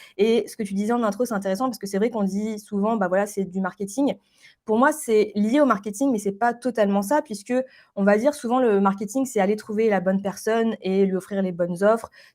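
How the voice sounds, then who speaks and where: A woman's medium-pitched voice at a fairly quick pace with fairly even intonation, on a very clean recording with a silent background. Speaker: branding specialist. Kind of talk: interview. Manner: fast.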